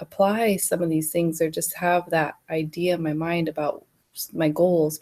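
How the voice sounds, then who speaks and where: A woman with a fairly low pitch and a dark, mellow tone. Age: 30s. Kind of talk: casual talk to camera. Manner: slow.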